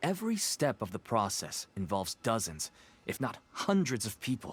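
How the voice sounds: In a put-on character voice, the speaker moves at a moderate pace with very wide pitch swings and a slightly husky edge. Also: man, fairly low pitch for a man.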